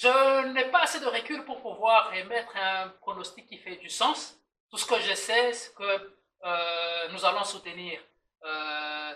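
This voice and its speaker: A man's raised, projected voice at a high pitch with a Swahili accent, very slow pace, lively intonation, and big swings in loudness. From DR Congo, Lubumbashi. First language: Swahili (speaking French). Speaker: podcast guest, diaspora community member. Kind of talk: casual podcast chat. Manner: halting, many hesitations and repetitions.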